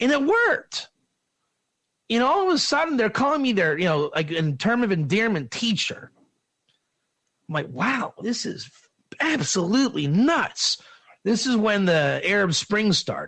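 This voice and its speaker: Using an American accent, a man with a high, bright, sharp voice sounds animated, swinging very widely in pitch and leaving long, frequent pauses. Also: moderate pace. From Pittsburgh, US. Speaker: rabbi and teacher. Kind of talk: lecture with personal story.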